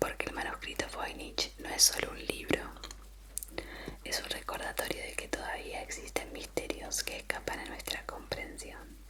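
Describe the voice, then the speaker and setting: Someone is whispering at a moderate pace. Background noise is noticeable. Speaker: ASMR creator. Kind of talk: ASMR history mystery storytelling. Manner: whispered.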